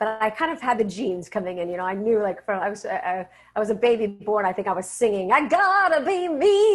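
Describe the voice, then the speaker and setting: A woman speaks very fast, with hardly any pauses and lively intonation. Her fairly high voice comes through noticeable background noise. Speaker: voice actor. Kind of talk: interview answer.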